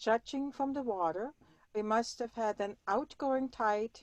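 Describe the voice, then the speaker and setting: With a German accent, a woman speaks at a very slow pace and a fairly high pitch, the sound dry and close with no echo. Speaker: sailor and weather router. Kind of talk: presentation.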